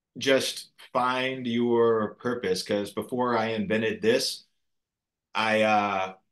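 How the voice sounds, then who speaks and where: A man at a very slow pace, medium in pitch, with fairly even intonation. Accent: American. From Texas. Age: 30s. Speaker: inventor and yoga entrepreneur. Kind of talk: interview conversation.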